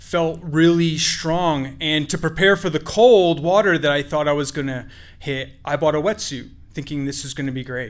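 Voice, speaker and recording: The man speaks in a normal speaking voice, pitched fairly high. His pace is moderate and his pitch varies in an ordinary way. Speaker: storyteller. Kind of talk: live storytelling. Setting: stage with audience.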